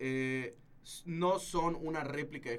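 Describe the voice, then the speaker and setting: A man with a fairly high pitch and ordinary pitch variation speaks in a plain, everyday voice. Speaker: filmmaker. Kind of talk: casual chat. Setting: studio.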